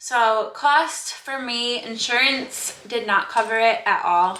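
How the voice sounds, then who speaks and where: The woman's pitch varies in an ordinary way while noticeable noise fills the background. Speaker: fitness coach and vlogger. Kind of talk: casual vlog. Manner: casual, chatty.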